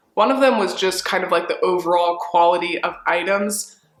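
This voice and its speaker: A woman speaks at a fairly quick pace in an animated tone with fairly low pitch. Noticeable background noise runs underneath. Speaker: fashion reseller vlogger. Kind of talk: casual haul review vlog. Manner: chatty, animated.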